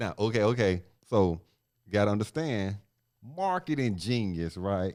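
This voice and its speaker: Pausing long and often, a man with a fairly low pitch speaks at a moderate pace with ordinary pitch variation. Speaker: sports podcast co-host. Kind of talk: casual sports talk podcast. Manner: loud.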